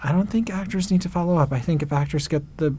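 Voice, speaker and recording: A man talks fairly quickly in a somewhat breathy voice, his pitch varying in an ordinary way. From New York. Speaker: casting director. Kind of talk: interview answer.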